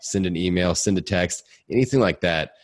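An energetic man speaks in a very deep, low voice with vocal fry and ordinary pitch variation against a quiet background. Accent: Midwestern. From US Midwest, Indiana. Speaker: podcaster and fitness coach. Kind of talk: casual interview. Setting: home basement studio.

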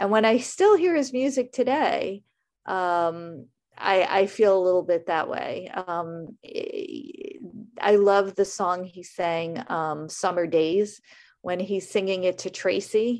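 Talking at a very slow pace with lively intonation, a woman with a New York accent is heard over a quiet background. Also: medium pitch for a woman. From US Northeast, Brooklyn. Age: 50s. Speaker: writer and blogger. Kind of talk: reading aloud; casual interview.

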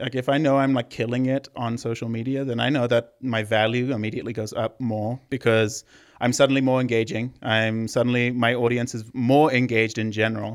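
Speaking with a Zimbabwean accent at a fairly quick pace with hardly any pauses, a man at medium pitch keeps a monotone, flat intonation in a very clean recording with a silent background. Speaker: social media content creator. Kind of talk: casual interview chat.

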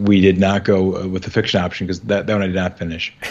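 A man with a Midwestern American accent speaks in a very deep, low voice. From US Midwest. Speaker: podcast co-host. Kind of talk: casual chat.

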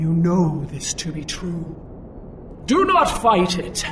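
A man's put-on character voice, fairly high and fairly bright, slow, with very wide pitch swings over faint background music

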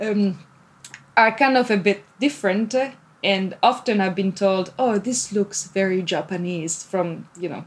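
A woman with an Italian accent, medium pitch and a moderate pace. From Italy. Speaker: PhD student and sewing blogger. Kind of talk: casual interview. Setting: remote call.

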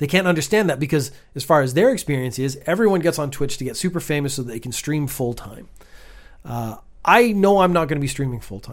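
A man with a fairly high pitch speaks at a moderate pace. His intonation is lively. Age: 50s. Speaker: content creator and streamer. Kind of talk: monologue.

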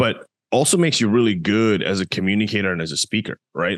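Speaking at a very fast pace with a Canadian accent, a man with a fairly low pitch is heard against a quiet background. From Canada. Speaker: digital marketing agency founder. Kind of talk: interview.

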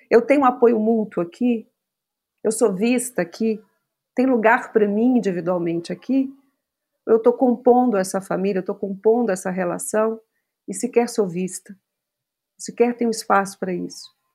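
A woman's dark, mellow tone broken by long, frequent pauses. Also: fairly high pitch for a woman, ordinary pitch variation, moderate pace. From Brazil, Minas Gerais (Belo Horizonte). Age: 40s. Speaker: psychologist. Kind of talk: casual chat.

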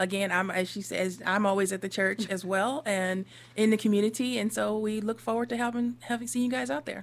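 A woman with an American accent speaks at a fairly quick pace in an ordinary speaking voice, with medium pitch and ordinary pitch variation, on a very clean recording with a silent background. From US Northeast. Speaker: minister. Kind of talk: radio interview.

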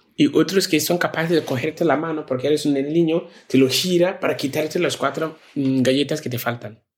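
Here a man talks with a fairly high pitch. His pitch variation is ordinary. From Ghana, rural village. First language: a Ghanaian language (speaking Spanish). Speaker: social entrepreneur, NGO founder. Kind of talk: interview testimony.

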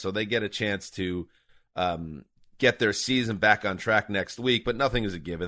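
Against a quiet background, a man with an American accent talks at a moderate pace in a fairly low pitch and a bright, sharp tone, with ordinary pitch variation. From New York. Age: 40s. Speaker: sports podcast host. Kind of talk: casual chat.

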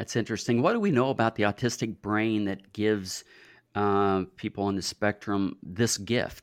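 A man's normal speaking voice at a fairly low pitch and moderate pace, fairly even in intonation, with a dry, close sound and no echo. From US, rural farm. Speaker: podcast host. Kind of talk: interview. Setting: video call.

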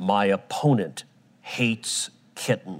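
In a put-on character voice, a man talks at a fairly slow pace with a fairly low pitch. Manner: exaggerated, ominous.

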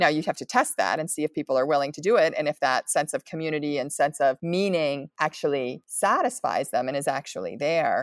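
In an American accent, a woman with a very deep, low pitch talks at a fairly quick pace with hardly any pauses, on a very clean recording with a silent background that sounds dry and close with no echo. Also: ordinary pitch variation. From Pennsylvania, US. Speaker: nonprofit leader. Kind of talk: interview.

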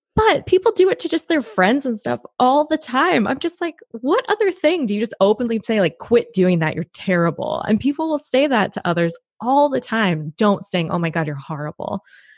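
A woman with an American accent speaks at a moderate pace, her fairly high pitch moving in very wide swings. Her voice carries vocal fry, and the sound is dry and close with no echo. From US Pacific Northwest, Washington State near Tacoma. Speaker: actress, writer and voice teacher. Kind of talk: casual interview.

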